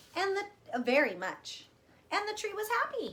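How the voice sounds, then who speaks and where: In a put-on character voice, a woman uses a warm, squeaky tone at an extremely high pitch with very wide pitch swings and a moderate pace. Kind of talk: read-aloud to young children. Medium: read story. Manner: warm, sing-song, encouraging.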